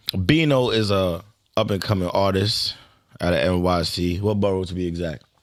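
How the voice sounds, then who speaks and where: A man with a New York accent and a very deep, low pitch, at a moderate pace with ordinary pitch variation. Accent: New York City. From New York City (Brooklyn). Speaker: podcast host. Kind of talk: casual interview. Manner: casual, slangy.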